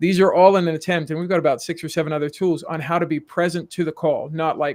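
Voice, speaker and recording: A man's high voice with a South African accent at a very fast pace, on a very clean recording with a silent background. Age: middle-aged. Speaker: executive coach. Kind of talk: podcast interview.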